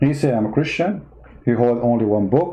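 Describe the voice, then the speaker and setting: A man with an Arabic accent, dark and mellow in tone, ordinary pitch variation, moderate pace, and audible room echo. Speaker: political commentator. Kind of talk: livestream monologue. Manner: animated.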